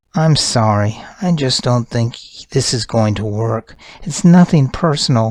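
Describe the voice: Lively intonation in plain reading aloud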